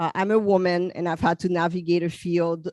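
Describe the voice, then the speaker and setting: A woman's fairly low, monotone, flat voice with a Haitian accent at a moderate pace, the sound dry and close with no echo. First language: French and Haitian Creole. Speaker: psychologist. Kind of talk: panel talk. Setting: convention panel.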